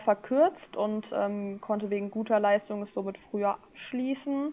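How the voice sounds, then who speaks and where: A woman speaks at a moderate pace and medium pitch. She has an unremarkable speaking voice. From Germany, northern Hesse (Rotenburg). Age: 20s. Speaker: trained chef and food influencer. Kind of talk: casual interview. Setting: online voice channel.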